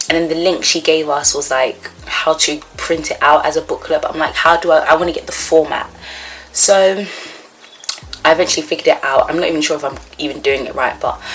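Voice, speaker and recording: A woman with a very deep, low voice talks at a fairly quick pace in fairly even intonation over noticeable background noise. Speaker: vlogger, psychology student. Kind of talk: casual vlog.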